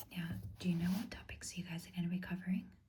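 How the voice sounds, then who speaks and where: Soft-spoken and fairly low in pitch, a woman talks in a monotone, flat way with vocal fry. Her tone is dark and mellow, calm and gentle. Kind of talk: ASMR tutoring roleplay, explaining maths to the listener. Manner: soft-spoken, calm, gentle.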